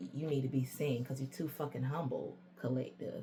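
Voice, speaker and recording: This woman's voice is somewhat breathy and sits at a very deep, low pitch. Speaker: tarot reader. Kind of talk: tarot reading. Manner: casual, conversational; halting at times.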